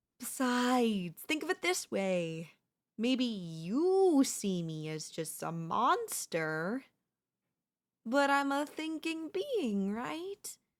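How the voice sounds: A woman performs a put-on character voice at a fairly high pitch, very slow pace and with big pitch swings. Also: very clean recording, silent background.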